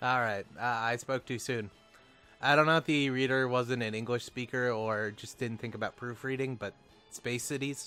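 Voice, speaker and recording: The speech unfolds at a moderate pace. Music can be heard behind it. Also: man, medium pitch for a man. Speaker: video game let's player. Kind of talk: casual gameplay commentary.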